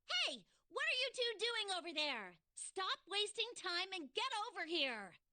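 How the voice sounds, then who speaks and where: A put-on, shrill, female-sounding character voice at an extremely high pitch and a moderate pace. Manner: impatient, scolding.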